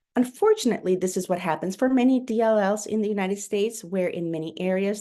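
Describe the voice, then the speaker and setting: A dark, mellow voice with a Spanish accent speaks at a very fast pace. The background is quiet. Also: woman. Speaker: pediatrician. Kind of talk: webinar lecture. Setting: online webinar. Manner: hesitant, with fillers and self-corrections.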